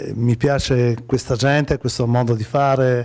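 Over a quiet background, a man speaks at a fairly slow pace in a medium pitch. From Liguria, Italy (Imperia); Liguria. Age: 40s. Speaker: actor and comedian; actor, comedian. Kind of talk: TV interview. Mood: cheerful, relaxed.

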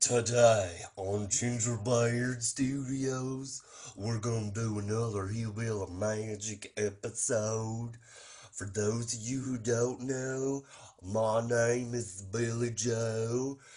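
A man uses a put-on character voice at medium pitch. He speaks at a very slow pace with monotone, flat intonation. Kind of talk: comedy sketch. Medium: role play. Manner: eager, repetitive.

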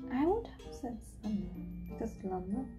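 A woman at a fairly slow pace over clear music in the background. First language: German. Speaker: language learner. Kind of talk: language practice, repeating sentences. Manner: hesitant, unsure. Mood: relaxed, playful. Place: home room. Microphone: camera far.

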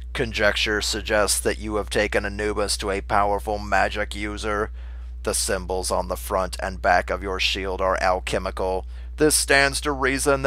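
Using a robotic, put-on character voice, a man speaks at a moderate pace. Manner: robotic, flat.

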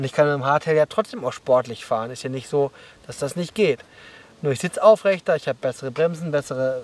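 A man's voice, dry with no echo. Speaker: mountain bike coach. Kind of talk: explanatory vlog commentary. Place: open country.

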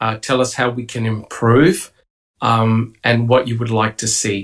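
A man at a fairly slow pace against a quiet background. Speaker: livestream podcast host. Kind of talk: casual panel discussion and reading aloud. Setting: video call. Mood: relaxed, welcoming. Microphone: video call.

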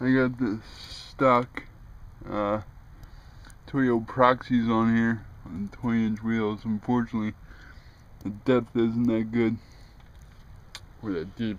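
A man talks at a very slow pace in a monotone, flat delivery, with long, frequent pauses. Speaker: car owner vlogger. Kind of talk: casual vlog chat. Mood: wry, pessimistic. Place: street. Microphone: phone near.

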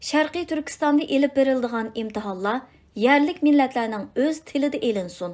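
The recording is very clean, with a silent background. A woman with a high voice and lively intonation speaks at a fairly slow pace. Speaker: audiobook narrator. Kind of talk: reading aloud.

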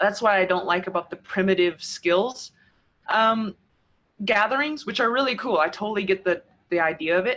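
A woman in an American accent at a moderate pace, with ordinary pitch variation and a quiet background. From New Mexico, US Southwest. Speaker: speaker, poet. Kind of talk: interview. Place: home room. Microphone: earbuds.

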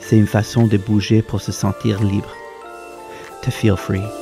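A man with a fairly low pitch speaks at a fairly slow pace as music plays in the background. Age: 30s. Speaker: professional dancer. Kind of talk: inspirational bilingual voice-over message.

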